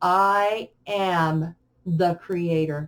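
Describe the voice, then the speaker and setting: A woman performs a put-on character voice. Her intonation stays fairly even. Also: fairly low pitch for a woman. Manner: loud, commanding.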